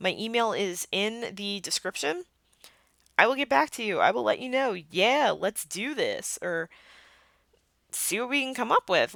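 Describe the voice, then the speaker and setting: The sound is dry and close, with no echo, as a woman speaks at a moderate pace. Her voice has vocal fry and very wide pitch swings. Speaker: podcast host, cosplayer and photographer. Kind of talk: solo podcast monologue. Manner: animated.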